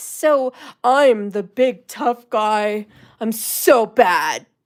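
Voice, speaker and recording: A woman puts on a character voice with a fairly high pitch. She speaks at a very slow pace. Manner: pompous, swaggering, mocking.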